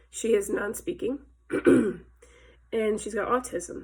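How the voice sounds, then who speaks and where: Here is a woman with a medium-pitched voice. Her pitch varies in an ordinary way. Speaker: life coach. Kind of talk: casual vlog talk. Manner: hesitant with fillers.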